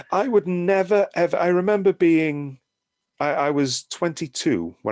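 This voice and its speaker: With a British accent, a man talks at a moderate pace and a fairly high pitch, recorded dry and close with no echo. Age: 60s. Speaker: horror and sci-fi film magazine writer. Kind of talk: casual interview conversation.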